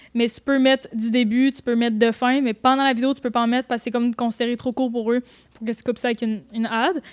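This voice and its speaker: In a Quebec accent, the speaker races along at a very fast pace with monotone, flat intonation and a dry, close sound with no echo. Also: woman. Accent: Québécois French. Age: 20s. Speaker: photographer and YouTuber. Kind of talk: casual chat.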